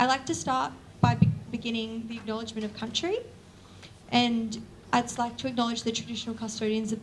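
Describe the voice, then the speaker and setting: A woman with an Australian accent speaks in a fairly high voice with fairly even intonation, with audible room echo and noticeable background noise. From Australia, Newcastle NSW. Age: 20s. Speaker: university student, event speaker. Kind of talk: opening speech at public lecture. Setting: lecture event with live audience.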